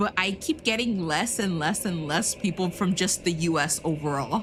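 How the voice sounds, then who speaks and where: With noticeable background noise, a woman in an American accent speaks at a moderate pace, her fairly low pitch carrying lively intonation. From US, Mexican heritage. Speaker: vtuber game streamer. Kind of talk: casual livestream chat with gameplay. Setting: livestream, late at night. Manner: halting, many repeated words and fillers.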